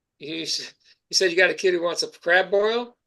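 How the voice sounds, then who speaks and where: A man at a moderate pace. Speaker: judge. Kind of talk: court hearing. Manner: voice rises when excited.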